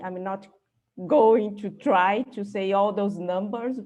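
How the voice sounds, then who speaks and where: A woman's medium-pitched, dark, mellow voice at a very slow pace, with audible room echo. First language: not English. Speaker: astrophysicist. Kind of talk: conference talk. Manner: halting, many fillers.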